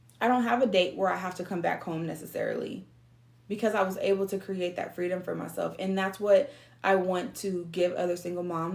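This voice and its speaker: A normal speaking voice, the woman's sits at a medium pitch with ordinary pitch variation. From San Diego, California. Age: 30s. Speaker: online business coach. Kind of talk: motivational talk.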